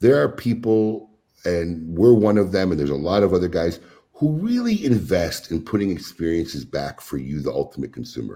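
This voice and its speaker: A man with a very deep, low pitch and a dark, mellow tone speaks at a moderate pace with lively intonation. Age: 50s. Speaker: cigar retailer. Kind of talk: casual chat.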